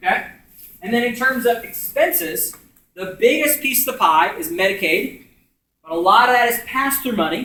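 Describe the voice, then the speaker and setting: A man's raised, projected voice with an American accent, extremely high pitch, lively intonation and a bright, sharp tone. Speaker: community organizer leading a workshop. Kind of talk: group discussion explaining policy. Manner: loud talker; casual, filler words.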